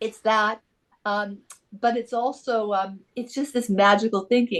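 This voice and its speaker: A woman speaks at medium pitch. Her pace is fairly slow. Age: 60s. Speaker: author and publisher. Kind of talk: interview. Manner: animated.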